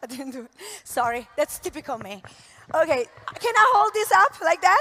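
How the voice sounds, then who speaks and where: Over noticeable background noise, a woman with an Italian accent raises and projects her voice. Her pitch is high and her tone animated. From Italy. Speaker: network marketing entrepreneur. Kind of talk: motivational talk. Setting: stage with audience.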